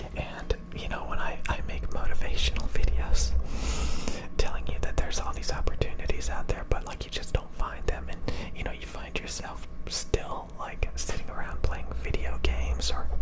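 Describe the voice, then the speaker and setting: With loud noise in the background, the man keeps to a moderate pace. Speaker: ASMR creator. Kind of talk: soft-spoken motivational chat. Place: home room. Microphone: studio mic.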